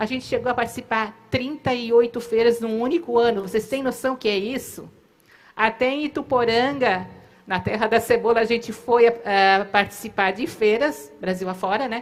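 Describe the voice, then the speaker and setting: In a very clean recording with a silent background, a woman speaks at a moderate pace and a fairly high pitch, with ordinary pitch variation. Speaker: company co-founder. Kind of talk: storytelling at a live event. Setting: theater stage.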